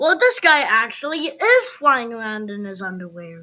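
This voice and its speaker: A put-on character voice, female-sounding and fairly high-pitched, at a moderate pace. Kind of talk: children's read-aloud. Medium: read story. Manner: playful, animated.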